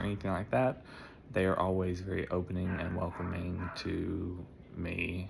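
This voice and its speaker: A man speaks in a very deep, low pitch. Room echo is audible. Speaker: customer testimonial. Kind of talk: testimony.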